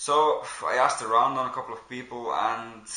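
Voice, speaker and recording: Monotone, flat intonation from a man with a Belgian accent, plus audible room echo and noticeable background noise. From Belgium. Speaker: airsoft player and reviewer. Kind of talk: product review. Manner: casual, with frequent fillers.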